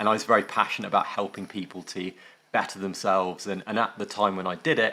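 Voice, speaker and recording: In an English accent, the voice has a bright, sharp tone and monotone, flat intonation at a fairly quick pace. The recording is very clean, with a silent background. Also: man. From northwest England. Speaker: tech company founder and former surgeon. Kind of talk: interview. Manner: hesitant, many fillers.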